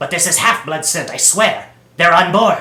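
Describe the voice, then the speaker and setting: Growling in a put-on character voice, a man talks at a moderate pace. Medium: read story. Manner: snarling, bickering.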